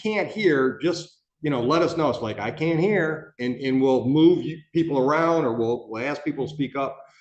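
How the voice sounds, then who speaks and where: In a room with audible echo, a man with a fairly high voice speaks at a moderate pace with ordinary pitch variation. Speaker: judge. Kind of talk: jury selection instructions in courtroom. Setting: courtroom. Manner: loud; casual, halting with fillers.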